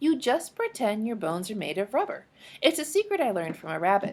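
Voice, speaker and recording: In a put-on character voice, a woman speaks at a very fast pace. Her pitch is fairly high. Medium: read story.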